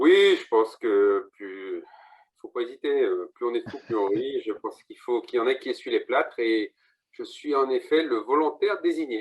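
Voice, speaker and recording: A man talks at a moderate pace. His loudness swings a lot. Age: 50s. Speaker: real estate agent. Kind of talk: interview.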